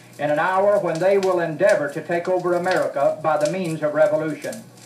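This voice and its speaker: This man's voice sits high in pitch. Noticeable background noise runs underneath. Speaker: preacher / political speaker on a 1968 spoken word record. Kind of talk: fiery sermon-style political speech. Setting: old vinyl record recording. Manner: earnest, fervent, preaching.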